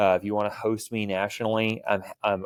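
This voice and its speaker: The voice has a monotone, flat intonation. It comes with an American accent. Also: man. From US South, Houston, Texas. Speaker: firearms trainer. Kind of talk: podcast interview. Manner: casual.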